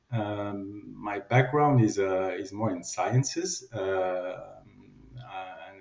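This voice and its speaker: Somewhat breathy, a man with a French accent speaks at a fairly low pitch. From France. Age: 50s. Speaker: company general manager. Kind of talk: interview.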